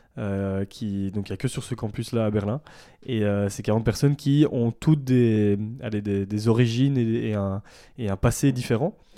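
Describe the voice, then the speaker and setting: This man has a Belgian accent and a dark, mellow tone at medium pitch, with ordinary pitch variation. He speaks at a fairly slow pace on a very clean recording with a silent background. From Belgium, Ardennes (southern Belgium). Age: 20s. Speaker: ethical fashion brand founder. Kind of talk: casual interview. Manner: hesitant, many fillers.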